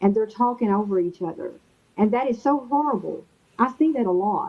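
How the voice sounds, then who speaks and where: With an American accent, a woman speaks at a fairly quick pace. Her voice is fairly high, and her intonation is lively. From Texas. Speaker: interview guest. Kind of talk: casual chat.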